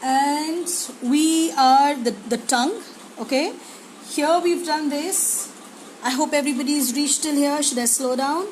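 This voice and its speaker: This woman's voice is high-pitched, with ordinary pitch variation and a fairly slow pace. Noticeable background noise and audible room echo fill the recording. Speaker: art teacher. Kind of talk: live drawing tutorial. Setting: live stream.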